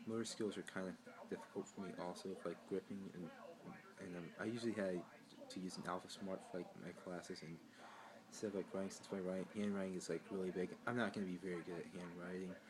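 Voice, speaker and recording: Talking at a very fast pace, a man with an American accent uses a very deep, low pitch and a monotone, flat intonation. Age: 20s. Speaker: college student vlogger. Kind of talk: personal vlog introduction. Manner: halting, many fillers and restarts; awkward.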